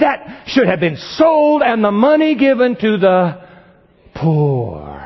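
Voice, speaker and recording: A man whispers in a put-on character voice, with a hissing sound. His fairly slow delivery keeps a very even loudness. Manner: hissing, loud stage whisper.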